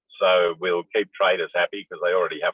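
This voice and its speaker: A man talking very fast in an Australian accent. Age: 60s. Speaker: panel discussant. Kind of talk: panel discussion.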